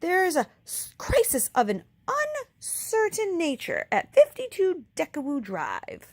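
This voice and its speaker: A woman's put-on character voice at an extremely high pitch, very wide pitch swings and big swings in loudness, fairly slow pace, dry, close sound with no echo. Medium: read story. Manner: loud, imperious.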